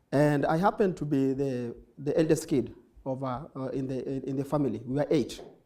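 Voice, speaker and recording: The man's voice has a fairly high pitch and a dark, mellow tone, with ordinary pitch variation. Audible room echo is present. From Kenya, Nairobi (Kibera). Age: 20s. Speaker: nonprofit founder, social entrepreneur. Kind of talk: conference talk. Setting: stage with audience. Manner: fast.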